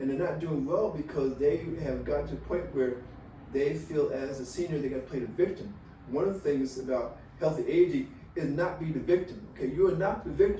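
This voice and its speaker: A man at a fairly quick pace, with ordinary pitch variation and audible room echo. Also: fairly high pitch for a man. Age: 70s. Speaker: retired college administrator, healthy aging guest. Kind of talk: podcast interview. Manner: animated.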